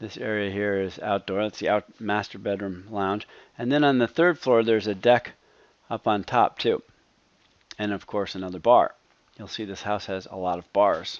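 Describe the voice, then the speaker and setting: In an ordinary speaking voice, a man with a fairly low pitch talks at a moderate pace, with ordinary pitch variation and big swings in loudness. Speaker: home design video presenter. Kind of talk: narrated slideshow tour.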